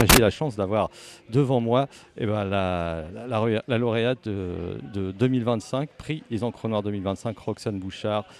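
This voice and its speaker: Against noticeable background noise, a man speaks at a moderate pace and medium pitch. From Le Havre, Normandy, France. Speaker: radio host. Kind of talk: radio interview. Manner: halting.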